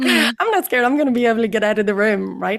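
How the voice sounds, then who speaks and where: With an Irish accent, a woman speaks at a fairly high pitch with vocal fry, in a very clean recording with a silent background. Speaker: psychotherapist. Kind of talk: interview answer. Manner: fast.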